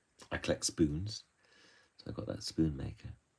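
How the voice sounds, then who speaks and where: This voice has a dark, mellow tone with vocal fry. It speaks with a West Country accent and lively intonation. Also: man. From southwest England, Bristol. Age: 70s. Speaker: author and illustrator. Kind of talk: live-stream drawing talk. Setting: live stream. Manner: halting, with fillers.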